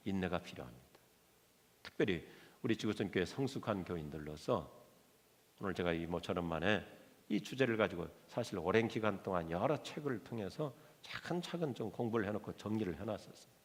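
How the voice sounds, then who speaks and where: A man with a fairly low pitch talks at a fairly quick pace, his intonation lively and his pauses long and frequent. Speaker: pastor. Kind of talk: sermon. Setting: church.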